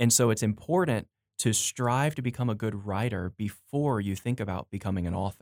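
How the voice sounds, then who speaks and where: A man at a medium pitch with a plain, everyday voice, ordinary pitch variation and a fairly quick pace, in a very clean recording with a silent background and a dry, close sound with no echo. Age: 30s. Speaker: editor and pastor. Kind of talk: casual interview. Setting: studio.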